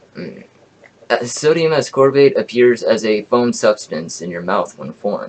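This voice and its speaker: Speaking at a fairly slow pace, a man shows big swings in loudness. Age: 20s. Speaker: YouTuber sharing home remedy; self-made science vlogger. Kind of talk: reading from notes to camera. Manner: halting. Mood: indignant at the end. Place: home room. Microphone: webcam.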